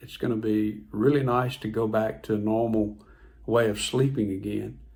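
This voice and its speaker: There is audible room echo as a man talks fairly slowly at a medium pitch. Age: 60s. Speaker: health vlogger. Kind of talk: personal testimony vlog. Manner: casual, conversational with repetitions.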